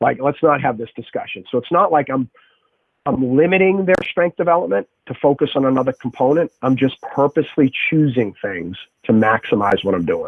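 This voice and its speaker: Over music in the background, a man with an American accent talks fairly quickly in a fairly high pitch, his intonation lively. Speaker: strength and conditioning coach and athletic trainer. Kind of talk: podcast interview conversation.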